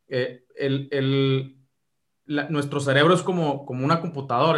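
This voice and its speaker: With a Mexican accent, a man speaks at a moderate pace with a fairly high pitch and fairly even intonation, on a very clean recording with a silent background. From Mexico. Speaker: e-commerce expert. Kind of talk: interview. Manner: halting, many repetitions.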